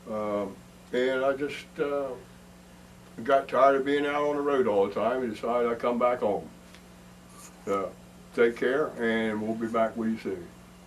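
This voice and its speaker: Using ordinary pitch variation, a man with an Eastern Shore Maryland accent talks at a medium pitch and a moderate pace, with long, frequent pauses. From Delmar, Maryland Eastern Shore. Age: 60s. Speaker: bass guitarist. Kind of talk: band promo self-introduction.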